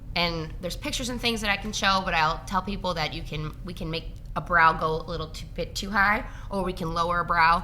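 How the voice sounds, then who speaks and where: Fairly quick, with hardly any pauses, a woman talks in a bright, sharp tone at a fairly low pitch. Her pitch varies in an ordinary way, and the room echo is audible. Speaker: registered nurse injector. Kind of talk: casual interview. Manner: fast; mumbling.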